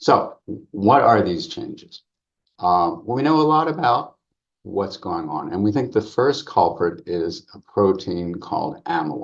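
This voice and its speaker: Pitch swinging very widely around a medium level, a man speaks at a fairly slow pace. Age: 70s. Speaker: psychologist researcher. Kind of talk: lecture.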